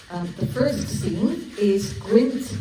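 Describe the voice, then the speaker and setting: Speaking at a very slow pace with very wide pitch swings and a Gloucester accent, this voice comes through noticeable background noise and audible room echo. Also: woman. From England, Gloucester. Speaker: novelist. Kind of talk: casual introduction; reading aloud. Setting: live audience event. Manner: hesitant fillers.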